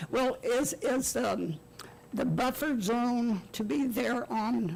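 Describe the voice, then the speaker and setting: A woman's voice over noticeable background noise. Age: 80s+. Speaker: resident speaking at public meeting. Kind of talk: public comment question. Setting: city commission meeting room. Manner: halting.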